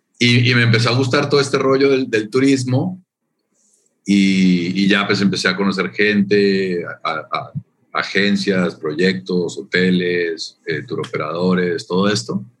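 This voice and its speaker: A man talks at a fairly slow pace in a normal speaking voice. His pitch sits fairly low, and his intonation is lively. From Colombia. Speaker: tourism official. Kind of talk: interview.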